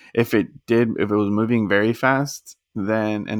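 A man with a medium pitch speaks in a monotone, flat way. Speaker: podcast host. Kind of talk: casual chat. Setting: video call. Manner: casual, rambling.

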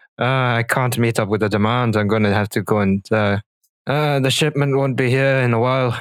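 A man speaks fairly quickly at a medium pitch, his intonation fairly even and his loudness very even. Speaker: dungeon master. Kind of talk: tabletop roleplaying game narration and casual chat. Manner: hesitant, many fillers.

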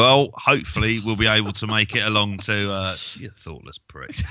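Bright, sharp tone from a man with a fairly low pitch, at a moderate pace. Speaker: wrestling podcast co-host and teacher. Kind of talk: casual chat. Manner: blunt and sweary.

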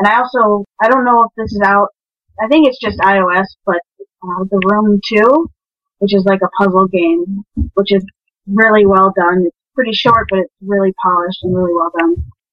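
A woman speaks with an American accent in a plain, everyday voice. Her pitch is medium, her pace moderate and her pitch variation ordinary. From Minnesota. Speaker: game programmer. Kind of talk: casual chat. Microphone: poor mic, may sound quiet.

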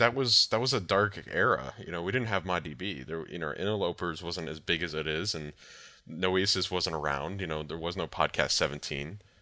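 A man with a very deep, low pitch and vocal fry talks in a bright, sharp tone with lively intonation. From Michigan, Detroit area. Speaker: game mod PR representative. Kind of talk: interview. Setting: online voice call.

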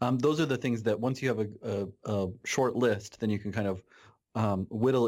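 Someone with an American accent talks at a moderate pace with ordinary pitch variation, in a very clean recording with a silent background. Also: man. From Nebraska. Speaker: pediatrician. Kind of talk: interview. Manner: halting.

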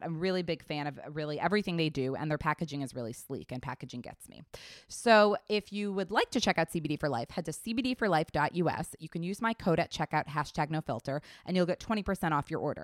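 Over a very clean recording with a silent background and a dry, close sound with no echo, a woman speaks with a very deep, low pitch and lively intonation. Her tone is animated, her pace fairly quick, with hardly any pauses. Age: 30s. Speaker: podcast host. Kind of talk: casual interview chat.

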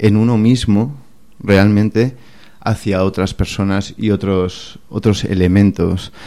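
The speaker is a man with a fairly low pitch and a dark, mellow tone. His intonation stays monotone and flat. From Catalonia, Spain (Barcelona). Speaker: chef and restaurant owner. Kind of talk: radio interview. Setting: radio studio.

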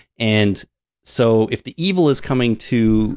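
A man talks with a Canadian accent in a plain, everyday voice. The sound is dry and close, free of echo. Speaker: podcast co-host. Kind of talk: casual chat.

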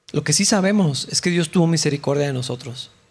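A man with a somewhat breathy voice and lively intonation speaks at a moderate pace. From Mexico. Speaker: pastor. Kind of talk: sermon.

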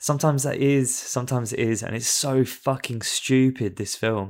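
Against a silent background in a very clean recording, a man with a normal speaking voice speaks at a fairly slow pace. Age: 30s. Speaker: film podcast guest. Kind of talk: casual chat.

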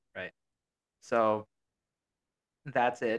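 The sound is dry and close with no echo as a man with an American accent speaks in a bright, sharp tone. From Australia. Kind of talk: casual chat. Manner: casual, many fillers.

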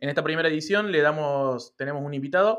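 A man with a Rioplatense accent, fairly high in pitch, with ordinary pitch variation and a moderate pace. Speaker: podcast host. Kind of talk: interview. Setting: online call.

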